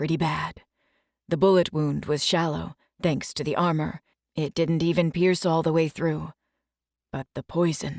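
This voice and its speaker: Using a put-on character voice with a very deep, low pitch, a woman speaks at a moderate pace with long, frequent pauses. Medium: read story. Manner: soft-spoken, brooding.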